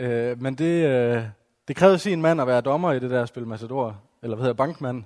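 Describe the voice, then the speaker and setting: West Jutland accent at a moderate pace, with ordinary pitch variation. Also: man. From West Jutland, Denmark. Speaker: evangelist and teacher. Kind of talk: talk to a church gathering. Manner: halting, many fillers.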